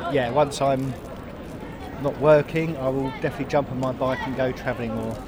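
A man speaks at a moderate pace and medium pitch with monotone, flat intonation. There is noticeable background noise. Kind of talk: casual chat. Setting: outdoors.

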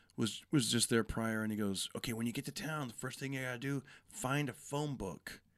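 A normal speaking voice, a man with an American accent at a fairly quick pace with ordinary pitch variation, on a very clean recording with a silent background. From California, Fresno. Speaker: comedian. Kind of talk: casual chat. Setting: in-person podcast studio at a comedy club.

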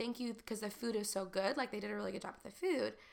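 Her voice is fairly high and bright, with a sharp edge and vocal fry. This woman sounds animated. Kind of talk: casual chat. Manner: fast talker.

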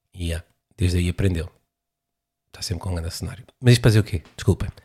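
Heard on a very clean recording with a silent background, a man's somewhat breathy voice has a dark, mellow tone and ordinary pitch variation. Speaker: podcaster and stand-up comedian. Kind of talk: stand-up comedy riff with rambling casual asides. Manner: conversational, self-deprecating, hesitant with filler words.

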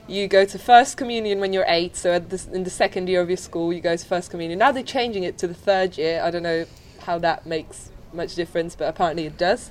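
Speaking very fast at a medium pitch, a woman shows usual pitch movement as noticeable noise plays behind her. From Poland. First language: Polish. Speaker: student doing PR work. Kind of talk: casual interview. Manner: relaxed.

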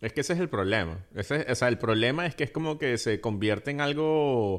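The man's lively intonation and moderate pace come across against a quiet background. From Venezuela. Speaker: podcast co-host, film commentator. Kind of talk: casual chat. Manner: halting.

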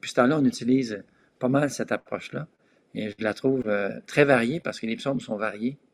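A man with an ordinary speaking voice talks at a fairly quick pace and medium pitch, with ordinary pitch variation, in a dry, close sound with no echo. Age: 60s. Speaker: pastor. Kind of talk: casual chat.

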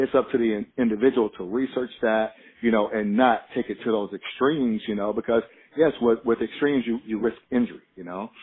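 A man with an unremarkable speaking voice, medium in pitch, at a fairly quick pace with fairly even intonation. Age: 40s. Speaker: strength and conditioning coach. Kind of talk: casual chat.

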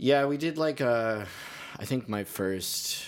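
In an American accent, a man talks at a very slow pace. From Pennsylvania, Carbon County. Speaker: musician and music therapist. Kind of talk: casual interview chat. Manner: hesitant, filler-heavy.

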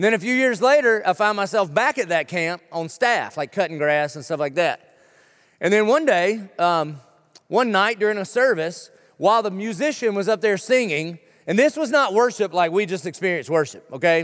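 On a very clean recording with a silent background, a man with a Southern US accent and a high pitch speaks at a moderate pace with lively intonation. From South Carolina. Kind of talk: sermon. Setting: church.

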